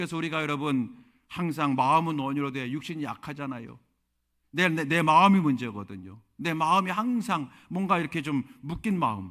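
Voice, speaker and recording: An ordinary speaking voice with lively intonation at a moderate pace, on a very clean recording with a silent background. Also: man, fairly high pitch for a man. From Korea, Chungcheong (Yesan). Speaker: pastor. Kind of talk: sermon.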